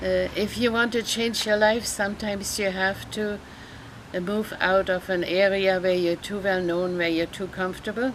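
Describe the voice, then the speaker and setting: This woman has a German accent and a medium pitch. She talks at a moderate pace with monotone, flat intonation. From Germany. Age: 80s+. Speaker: retired counselor and therapist. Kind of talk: interview. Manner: halting, many fillers.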